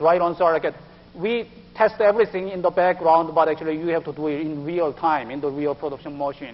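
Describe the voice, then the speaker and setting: A man with a Korean accent speaks at a high pitch with ordinary pitch variation. His pace is fairly quick. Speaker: IT project manager. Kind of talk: business presentation.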